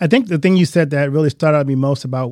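A man speaks in a dark, mellow tone with ordinary pitch variation, his voice dry and close with no echo on a very clean recording against a silent background. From Louisiana. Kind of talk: interview.

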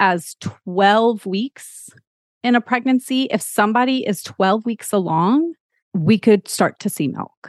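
A woman with an American accent speaks with lively intonation. The sound is dry and close with no echo, against a quiet background. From Texas. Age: 40s. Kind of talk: podcast interview.

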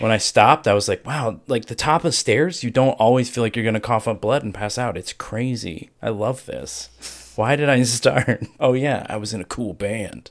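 A man with an unremarkable speaking voice, ordinary pitch variation and a moderate pace, on a very clean recording with a silent background. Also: medium pitch for a man. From US Ohio. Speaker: streamer. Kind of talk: casual chat.

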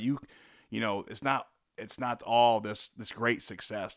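In a very clean recording with a silent background, a man with a plain, everyday voice speaks at medium pitch with fairly even intonation. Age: 40s. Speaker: former professional basketball player. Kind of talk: interview.

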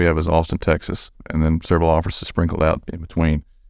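In a very clean recording with a silent background, a man with an Alabama accent talks in a very deep, low pitch with monotone, flat intonation. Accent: Alabama Southern US. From US South, small-town southern Alabama. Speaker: construction business development director. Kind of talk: casual interview.

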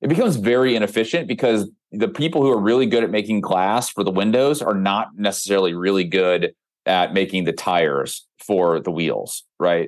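A man's unremarkable speaking voice, fairly low in pitch, at a fairly quick pace with lively intonation and very even loudness over a quiet background. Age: 40s. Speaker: health startup founder. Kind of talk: interview conversation.

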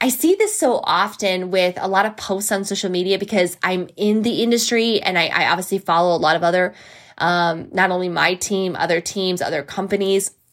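A woman with a plain, everyday voice at a medium pitch speaks at a moderate pace on a very clean recording with a silent background. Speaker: podcast host.

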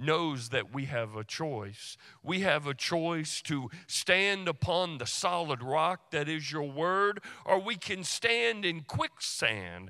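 On a very clean recording with a silent background, a man speaks very slowly in a bright, sharp tone with very wide pitch swings. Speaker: pastor. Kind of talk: sermon. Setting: church.

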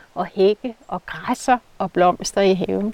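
Noticeable background noise sits behind a woman's voice, which sounds dry and close with no echo. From rural Denmark. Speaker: garden architect. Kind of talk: casual interview. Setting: outdoors in a garden.

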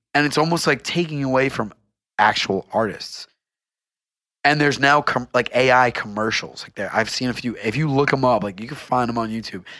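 The recording is very clean, with a silent background. A man of medium pitch speaks at a fairly quick pace in a bright, sharp tone with ordinary pitch variation. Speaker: podcast co-host. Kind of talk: casual chat.

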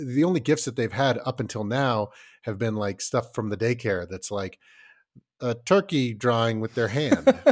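A man speaks at a medium pitch with lively intonation. His pace is moderate, and the recording is very clean, with a silent background. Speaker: podcast co-host, father. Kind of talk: casual chat. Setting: studio. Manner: loud.

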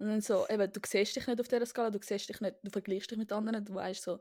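Speaking at a very fast pace, a woman has a fairly high pitch and a dark, mellow tone. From Switzerland. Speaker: podcast co-host. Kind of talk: casual chat. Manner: animated.

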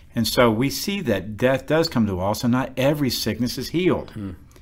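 With an American accent, a plain, everyday voice moves at a fairly quick pace with lively intonation. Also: man. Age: 50s. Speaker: pastor. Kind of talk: Bible study discussion.

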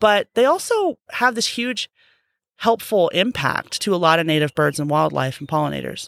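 A woman's voice at a moderate pace, dry and close with no echo, on a very clean recording with a silent background. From Arizona, Phoenix. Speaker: conservation biologist. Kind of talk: interview.

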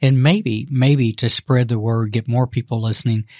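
A man talks in a somewhat breathy medium pitch with ordinary pitch variation. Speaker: podcast host. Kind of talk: casual chat. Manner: halting.

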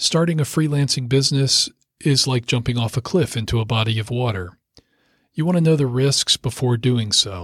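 At a moderate pace, a man talks with a medium pitch, ordinary pitch variation and a somewhat breathy sound. His loudness stays very even on a very clean recording with a silent background. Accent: American. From US Mid-Atlantic (Rockville, Maryland). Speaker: lawyer and author. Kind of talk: audiobook reading.

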